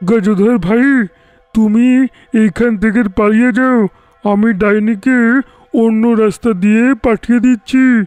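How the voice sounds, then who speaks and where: A man puts on a character voice, talking with a high pitch and at a fairly slow pace. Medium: audio drama.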